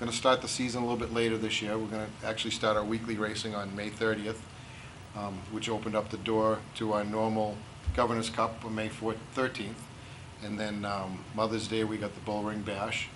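A man's fairly low, monotone, flat voice at a fairly quick pace, over noticeable background noise. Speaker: guest. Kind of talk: interview answer. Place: hall. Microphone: camera far.

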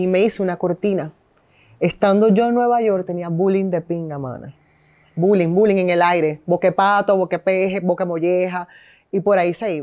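A woman's medium-pitched voice, dark and mellow in tone, with fairly even intonation and a quiet background. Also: moderate pace. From Venezuela, Caracas. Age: 30s. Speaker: radio host and businesswoman; interview guest. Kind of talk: casual interview. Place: home room.

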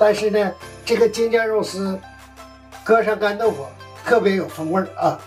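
Faint music plays behind a man with a high pitch and ordinary pitch variation. He keeps a moderate pace, broken by long, frequent pauses. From northern China. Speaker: chef. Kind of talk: cooking demonstration. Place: kitchen.

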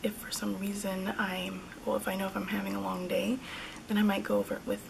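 Noticeable background noise sits under the speech. The delivery moves at a moderate pace. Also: woman. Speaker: beauty vlogger. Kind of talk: casual talk to camera. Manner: hesitant, many fillers. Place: home room. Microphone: phone near.

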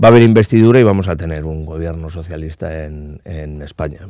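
Over a quiet background, a man speaks in a dark, mellow tone, the sound dry with no echo. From Basque Country, Spain. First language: Basque (speaking Spanish). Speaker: politician. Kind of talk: interview. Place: studio. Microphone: studio mic.

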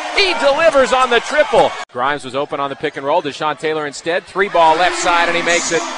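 Against noticeable background noise, a man talks fairly quickly in an animated tone, high in pitch with lively intonation. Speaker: sports commentator. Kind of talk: live basketball play-by-play commentary. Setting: game broadcast over highlight video. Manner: fast, animated, excitable play-by-play delivery; rapid-fire, clipped calls of each possession.

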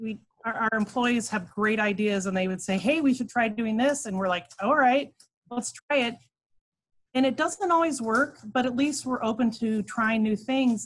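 A somewhat breathy woman at a moderate pace, ordinary pitch variation, quiet background. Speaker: remote guest. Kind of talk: interview answer. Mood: friendly, upbeat. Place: home room. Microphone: video call.

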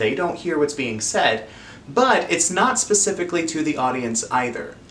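Light background noise sits behind a man whose voice shows very wide pitch swings. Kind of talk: educational explainer. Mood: friendly, expressive.

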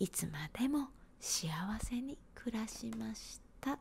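Whispering at a very slow pace, a woman uses a gentle, somewhat breathy tone. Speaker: storyteller. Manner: gentle whisper, bedtime story. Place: home room. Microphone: handheld.

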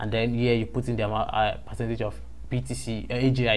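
A man talks in a Nigerian accent. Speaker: YouTube crypto trading tutor. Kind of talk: screen-recorded tutorial. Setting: screen recording voiceover. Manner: hesitant, with frequent fillers.

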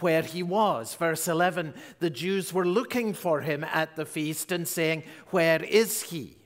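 A man speaks at a very slow pace with a high pitch. His pitch variation is ordinary, and the background is quiet. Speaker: pastor. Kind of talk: sermon. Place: church. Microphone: headset.

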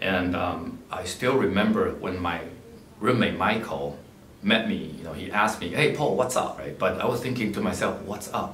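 Lively in intonation, a man talks at a moderate pace in a fairly low voice, with audible room echo and light background noise. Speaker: philanthropist and scholarship donor, MBA graduate. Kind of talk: personal talk about life story and advice. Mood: calm, reflective storytelling. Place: office.

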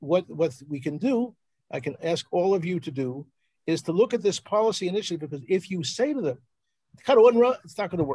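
A man with an American accent speaks at a fairly quick pace, his high-pitched voice dark and mellow in tone and lively in intonation, over a quiet background. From Philadelphia, US. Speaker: journalist and researcher; journalist. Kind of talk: presentation on a live video call. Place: home room. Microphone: video call.

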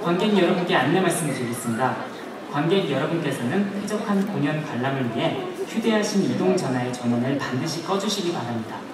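A man speaks at a fairly quick pace. Audible room echo and noticeable background noise surround him. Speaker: musical cast member. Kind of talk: theater PA announcement. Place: hall.

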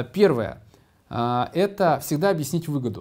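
Dark, mellow tone with lively intonation. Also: man. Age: 40s. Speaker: business executive. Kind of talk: conference presentation. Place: meeting room. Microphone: studio mic.

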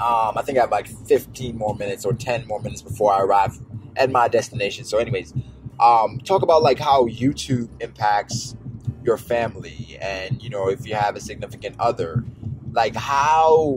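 A man talks at a moderate pace with ordinary pitch variation. The sound is dry with no echo, with faint music in the background. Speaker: YouTuber. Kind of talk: casual vlog chat. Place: car.

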